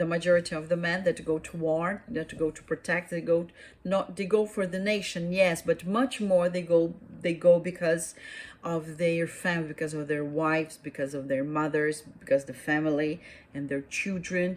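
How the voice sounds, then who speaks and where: At a moderate pace, a woman with a Portuguese accent talks in a fairly low-pitched voice with fairly even intonation. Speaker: YouTuber. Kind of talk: casual monologue. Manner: halting, many fillers.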